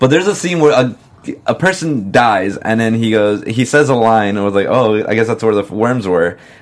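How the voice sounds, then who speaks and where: A man with a plain, everyday voice, medium in pitch, at a moderate pace with lively intonation. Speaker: podcast host. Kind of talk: casual chat.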